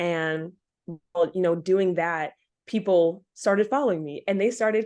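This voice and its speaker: At a moderate pace, a woman speaks with ordinary pitch variation and an unremarkable speaking voice over a quiet background. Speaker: campus missionary. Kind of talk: interview answer.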